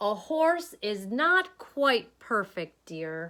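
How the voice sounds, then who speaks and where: In a put-on character voice, a woman speaks very slowly at a fairly high pitch with very wide pitch swings. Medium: read story.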